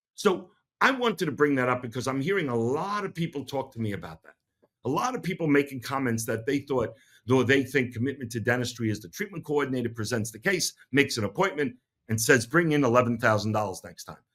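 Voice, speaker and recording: Talking at a very fast pace in a New York accent, a man uses a medium pitch, lively intonation and big swings in loudness. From New York City. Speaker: dentist and podcast host. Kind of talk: podcast monologue.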